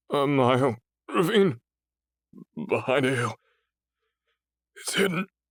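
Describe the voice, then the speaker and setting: Using a put-on character voice, a man speaks raspy and at a fairly high pitch, slowly, with very wide pitch swings and long, frequent pauses, in a dry, close sound with no echo. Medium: read story. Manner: stammering, pleading.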